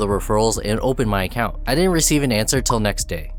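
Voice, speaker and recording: Against noticeable background noise, a man with a medium pitch speaks at a very fast pace with very wide pitch swings. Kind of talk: personal account narration to camera.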